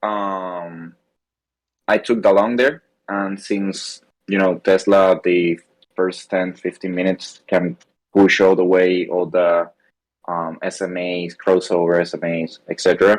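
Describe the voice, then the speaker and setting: At a fairly slow pace, a man with a non-native accent speaks in a very deep, low pitch with monotone, flat intonation. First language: not English. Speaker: trading class member. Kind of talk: question in live class. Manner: halting.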